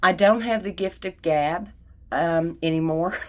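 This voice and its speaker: A woman speaks at a fairly slow pace with ordinary pitch variation. The recording is very clean, with a silent background. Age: 60s. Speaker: card-making YouTuber. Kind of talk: craft tutorial with personal chat. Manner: casual, conversational.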